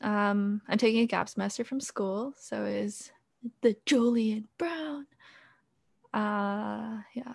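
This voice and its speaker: A woman talks at a very slow pace in a fairly high pitch. Her voice is somewhat breathy, with ordinary pitch variation. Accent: General American. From US. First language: Korean. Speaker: podcast co-host. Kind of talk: casual chat. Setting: bedroom with open window, truck noise.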